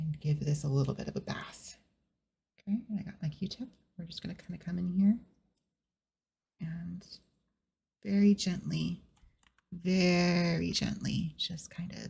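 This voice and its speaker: A soft-spoken woman talks at a fairly slow pace with long, frequent pauses. Her tone is dark and mellow, with vocal fry and fairly even intonation. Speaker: VTuber / ASMR streamer. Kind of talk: ASMR soft-spoken chatting. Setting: home recording with amateur equipment. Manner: soft-spoken, slow, relaxing.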